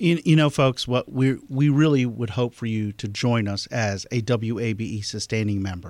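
On a very clean recording with a silent background, a man at a medium pitch has an ordinary speaking voice, talking at a moderate pace with ordinary pitch variation and hardly any pauses. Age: 40s. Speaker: politics reporter. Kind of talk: pledge drive appeal.

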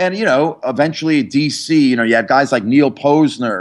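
In an American accent, a man talks at a medium pitch with ordinary pitch variation and an ordinary speaking voice. The background is quiet. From New York area, New Jersey. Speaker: comic book historian and graphic designer. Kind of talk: interview.

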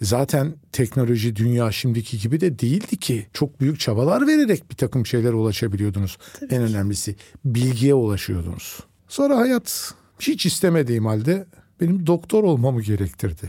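A man's medium-pitched, somewhat breathy voice with a dark, mellow tone and lively intonation, at a moderate pace on a very clean recording with a silent background. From Turkey, Nazilli (Aegean). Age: 60s. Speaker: oncologist doctor. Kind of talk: casual interview chat.

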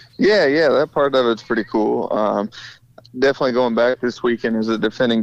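A man with an unremarkable speaking voice talks at a moderate pace in a medium pitch. His intonation is fairly even, and the sound is dry and close with no echo. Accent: American. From Republic, Missouri. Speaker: dirt track racing driver. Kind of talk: casual interview. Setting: phone call. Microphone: breaking up on phone line.

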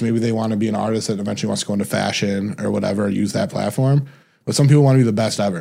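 In a very clean recording with a silent background, a man with an American accent speaks at a very fast pace, his medium pitch showing ordinary variation. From Detroit, Michigan. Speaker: music manager and record label executive. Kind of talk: casual interview.

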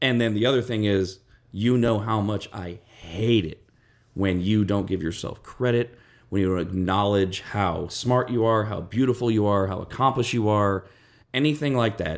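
In a very clean recording with a silent background, a man with an American accent talks at a moderate pace in an ordinary speaking voice, fairly low in pitch with ordinary pitch variation. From US West Coast. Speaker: radio podcast host. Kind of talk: casual chat.

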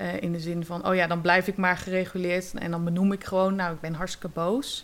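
A woman with a medium pitch talks at a moderate pace in a monotone, flat intonation, on a very clean recording with a silent background. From Netherlands, Zeeland. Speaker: yoga teacher and drama therapist. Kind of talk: casual interview.

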